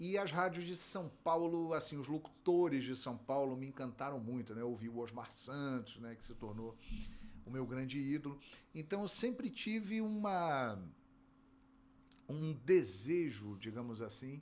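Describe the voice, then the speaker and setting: With lively intonation, a man speaks at a fairly high pitch and a fairly slow pace. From Rio de Janeiro, Brazil. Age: 50s. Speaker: sports broadcaster and play-by-play narrator. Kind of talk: interview.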